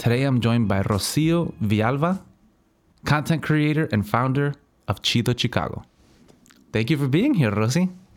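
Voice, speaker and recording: A man's medium-pitched voice at a moderate pace, with lively intonation, very even loudness and long, frequent pauses, in a very clean recording with a silent background. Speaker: podcast host. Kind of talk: casual interview chat.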